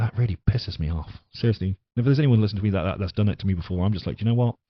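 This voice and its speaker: This man has an English accent and a fairly low pitch. His voice is somewhat breathy. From England. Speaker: podcast host. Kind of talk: casual podcast monologue. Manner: halting, many fillers.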